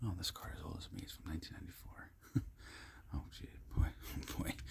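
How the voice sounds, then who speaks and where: A man whispers in a relaxed tone at a fairly quick pace, with big swings in loudness. Background noise is noticeable. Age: 30s. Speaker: ASMR content creator. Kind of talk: casual ASMR ramble, talking to camera about cards. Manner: relaxed, conversational.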